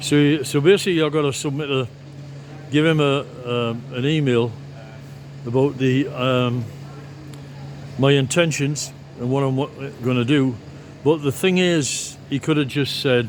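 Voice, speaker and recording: A man at medium pitch speaks at a fairly slow pace with fairly even intonation and long, frequent pauses, over noticeable background noise. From northeast England. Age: 70s. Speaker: vlogger, former physics teacher. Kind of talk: casual vlog monologue. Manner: halting, many fillers and restarts.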